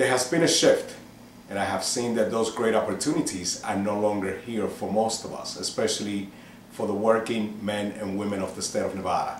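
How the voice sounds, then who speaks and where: Noticeable background noise and audible room echo surround a man speaking at a fairly low pitch with ordinary pitch variation. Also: fairly quick pace. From New York City (Manhattan), Cuban-born. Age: 50s. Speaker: political candidate. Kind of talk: interview.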